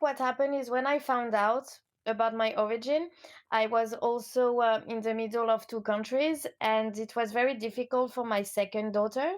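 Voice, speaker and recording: With a French accent, a woman speaks at a moderate pace in a fairly high pitch, her intonation fairly even against a quiet background. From France, Lyon. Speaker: coach. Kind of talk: interview.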